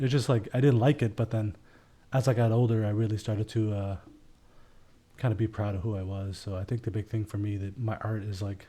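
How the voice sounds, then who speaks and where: A man speaks at a fairly quick pace in a fairly low, somewhat breathy voice. His tone is dark and mellow, his intonation fairly even. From Elsipogtog First Nation, New Brunswick, Canada. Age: 20s. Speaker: filmmaker. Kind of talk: podcast interview. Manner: casual, filler-heavy.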